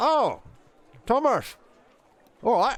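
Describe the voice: A high-pitched voice, put on for a character.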